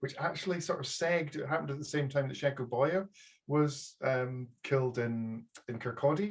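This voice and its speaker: A man speaks with a strong Aberdeen accent. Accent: thick Aberdonian Scottish. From Scotland, Aberdeenshire. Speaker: publisher. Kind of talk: casual chat. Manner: halting.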